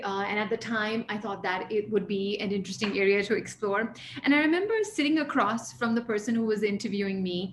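Over noticeable background noise, a woman with an American accent talks at a fairly quick pace and fairly high pitch, with ordinary pitch variation and hardly any pauses. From grew up abroad, mostly in the US (New York). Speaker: leadership and mindfulness coach. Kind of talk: interview.

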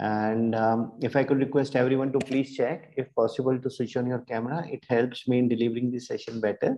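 With hardly any pauses, a man speaks at medium pitch in a monotone, flat intonation. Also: fairly quick pace. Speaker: hypnotherapist guiding meditation. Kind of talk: hypnosis induction, guided meditation. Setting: online session shared screen, video call. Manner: instructional, formal, with some filler hesitations.

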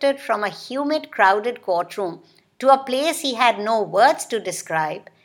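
This is a natural reading voice whose intonation is lively.

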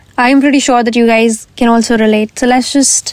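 At a moderate pace, a woman with a fairly high pitch speaks in a dry, close sound with no echo, though noticeable background noise is present. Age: young (19, turning 20). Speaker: podcast host. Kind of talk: casual solo podcast talk.

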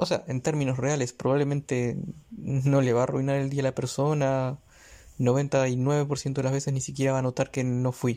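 A man speaks at a moderate pace in a flat monotone. His tone is dark and mellow, his loudness very even. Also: medium pitch for a man, very clean recording, silent background. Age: 30s. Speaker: solo podcaster. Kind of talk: personal reflective monologue. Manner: halting, many filler sounds.

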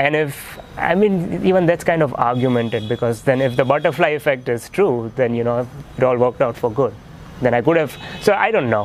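Over noticeable background noise, a man talks at a fairly quick pace and medium pitch, with lively intonation and very even loudness. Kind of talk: casual interview chat.

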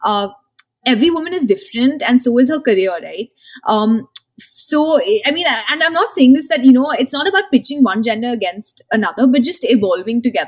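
A woman speaks fairly quickly in a high voice with very wide pitch swings. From India, Marwari family. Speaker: entrepreneur, founder of women's career platform. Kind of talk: interview.

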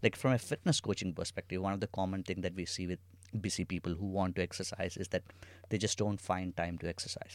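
A very fast man's voice, very deep and low in pitch, with fairly even intonation, on a very clean recording with a silent background. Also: dry, close sound with no echo. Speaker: co-founder and chief product officer. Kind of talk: casual conversational chat.

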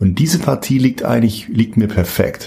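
Noticeable noise sits in the background while the speaker uses lively intonation. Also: man. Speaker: opera singer. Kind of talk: interview.

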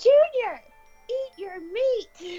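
A female-sounding, put-on character voice speaks at an extremely high pitch. Faint music plays in the background. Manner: scolding, like a vixen.

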